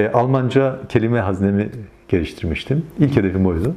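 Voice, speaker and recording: Moderate pace and lively intonation from a man. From Turkey, Yozgat (Sorgun); Turkey. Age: 50s. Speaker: Alevi community organizer, former local councillor; interviewee. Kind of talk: interview testimony. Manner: hesitant, many filler sounds. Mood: calm, reflective storytelling. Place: home room. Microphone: lapel.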